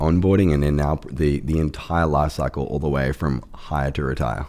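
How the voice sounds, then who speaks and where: A man with an Australian accent and a very deep, low voice talks at a moderate pace with hardly any pauses, fairly even intonation and very even loudness, amid noticeable background noise. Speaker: startup CEO. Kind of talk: podcast interview. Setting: studio, in person.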